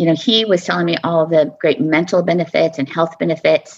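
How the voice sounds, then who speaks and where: This woman has an American accent and a fairly low pitch, with vocal fry in her voice. She speaks at a moderate pace. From US Southwest. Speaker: podcast guest, parent. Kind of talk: interview conversation.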